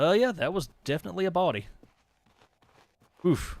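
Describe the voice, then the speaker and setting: Speaking at a moderate pace, a man talks with a Southern accent. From East Tennessee, Appalachia. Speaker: gaming streamer. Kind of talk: live gameplay commentary. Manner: animated.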